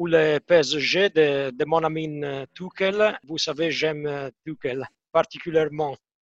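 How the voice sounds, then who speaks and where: A man speaks with an Italian accent. His pace is very slow. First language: Italian (speaking French). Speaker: football match analyst. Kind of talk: casual chat.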